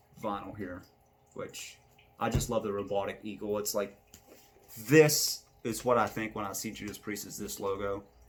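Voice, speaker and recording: Mumbling, a man speaks at a fairly low pitch. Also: long, frequent pauses. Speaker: amateur video reviewer. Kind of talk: casual monologue album ranking. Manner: halting, many fillers.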